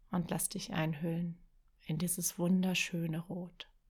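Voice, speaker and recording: A woman with a fairly low pitch speaks in a gentle, calm, somewhat breathy tone, her intonation monotone and flat and her pace fairly slow. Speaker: podcast host and writing coach. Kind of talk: guided meditation. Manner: slow, soft, calm and soothing, with long pauses; gentle, dreamy, lulling imagery.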